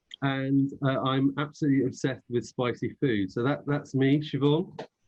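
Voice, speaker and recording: A man with a British accent speaks at a moderate pace. His pitch is fairly high and his intonation fairly even. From Britain. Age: 40s. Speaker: panel host, diversity network chair. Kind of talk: webinar panel discussion.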